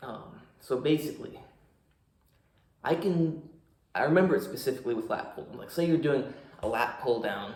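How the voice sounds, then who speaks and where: In a room with audible echo, a man with a fairly high pitch sounds somewhat breathy, using lively intonation at a moderate pace with long, frequent pauses. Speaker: fitness coach and vlogger. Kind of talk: casual vlog talk to camera. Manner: forceful, powerful speaking when not relaxed.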